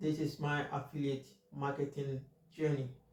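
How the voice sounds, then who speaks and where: Against noticeable background noise and audible room echo, a man speaks in a medium pitch at a moderate pace with monotone, flat intonation. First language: not English. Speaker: finance YouTuber. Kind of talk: casual monologue. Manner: halting, many fillers.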